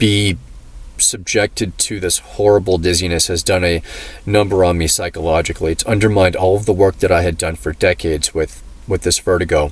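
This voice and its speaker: A man talks at a fairly quick pace in a very deep, low, somewhat breathy voice. His intonation stays fairly even. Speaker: vlogger telling personal health story. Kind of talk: personal testimony monologue. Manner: halting, many fillers; restricted mouth movement.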